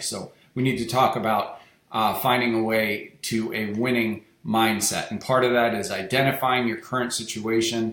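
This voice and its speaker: A man has an unremarkable speaking voice, medium in pitch, with fairly even intonation. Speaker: real estate wholesaling coach. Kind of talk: webinar presentation.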